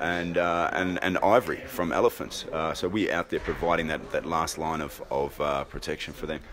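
Noticeable background noise runs under this recording. The man talks at a moderate pace. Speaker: anti-poaching leader, ex-special forces; interviewee. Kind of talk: interview. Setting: film festival, busy venue. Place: home room. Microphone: handheld.

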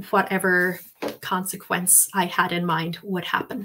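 Her intonation is monotone and flat as a woman talks with an Irish accent. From Ireland. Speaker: English language teacher and webinar presenter; English language teacher, webinar presenter. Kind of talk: webinar presentation. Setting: online webinar with live chat. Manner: hesitant, many ums and fillers. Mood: warm, relaxed, reflective. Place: home room. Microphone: webcam.

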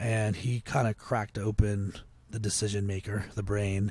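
A somewhat breathy man with an American accent and a fairly low pitch, at a moderate pace, on a very clean recording with a silent background. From Potomac, Maryland, US. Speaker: agency founder and author. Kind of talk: casual interview.

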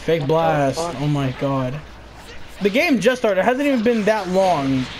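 With lively intonation and fairly high pitch, a man speaks at a very slow pace over noticeable background noise. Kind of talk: casual gaming chat. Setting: online voice chat while gaming. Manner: animated, trash-talking.

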